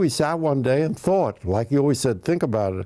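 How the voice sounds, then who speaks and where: In a New York accent, a man speaks at a medium pitch with a dark, mellow tone. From Bronx, New York. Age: 90s. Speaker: comedian, writer. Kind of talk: interview answer.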